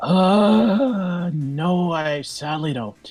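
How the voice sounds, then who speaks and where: Set over music in the background, the put-on character voice sits at a middle pitch. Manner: hesitant.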